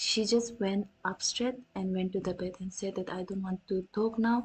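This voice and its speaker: Somewhat breathy, a woman with an Indian accent speaks at a medium pitch. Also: fairly even intonation, moderate pace. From North India. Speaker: vtuber streamer. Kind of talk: storytelling on a livestream. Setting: livestream. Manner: halting, many restarts.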